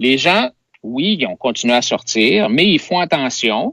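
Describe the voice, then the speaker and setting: Animated in tone, a man speaks at a fairly slow pace with very wide pitch swings. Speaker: provincial party leader, politician. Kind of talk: political interview. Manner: animated, hesitant with fillers.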